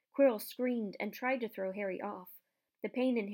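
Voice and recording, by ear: Someone is reading aloud in a natural voice with ordinary pitch variation against a quiet background.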